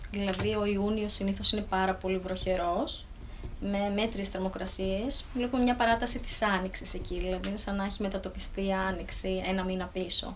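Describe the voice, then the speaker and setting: A woman speaks at medium pitch with fairly even intonation. Audible room echo surrounds her voice. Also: moderate pace. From Thessaloniki area, northern Greece. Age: 30s. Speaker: vegetable farmer and agronomist. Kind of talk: interview. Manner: hesitant, with fillers.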